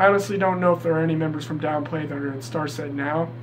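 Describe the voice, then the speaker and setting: The man's lively intonation comes through audible room echo and noticeable background noise. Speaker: music YouTuber. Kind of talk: casual countdown vlog. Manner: animated.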